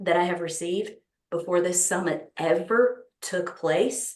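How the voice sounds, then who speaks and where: Speaking at a fairly slow pace, a woman uses a fairly low pitch with ordinary pitch variation. She has a Texas accent. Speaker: summit organizer, speaker addressing an audience. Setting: stage.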